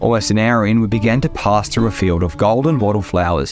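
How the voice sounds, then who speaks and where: A man speaks with an Australian accent in a fairly low voice with ordinary pitch variation. His pace is moderate, and music plays in the background. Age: 20s. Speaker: hiker, outdoor adventurer. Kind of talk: documentary-style travel narration.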